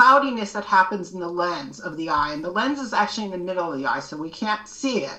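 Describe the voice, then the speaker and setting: This woman talks at a fairly quick pace with a medium pitch in a normal speaking voice. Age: 60s. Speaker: educator and advocate with low vision. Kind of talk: podcast interview.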